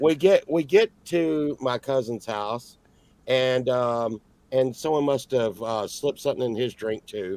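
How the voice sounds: A man speaks at a medium pitch with ordinary pitch variation. His pace is fairly slow and his tone slightly mellow.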